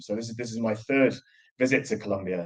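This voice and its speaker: In a Geordie accent, a man talks at a fairly quick pace with fairly even intonation. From northern England, Newcastle (Geordie). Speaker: professor. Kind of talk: lecture. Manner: fast.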